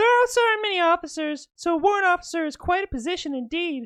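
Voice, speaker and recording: Someone rattles along at a very fast pace in a squeaky, extremely high-pitched put-on character voice. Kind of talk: amateur girly put-on voice. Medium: game stream. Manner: cheerful, friendly.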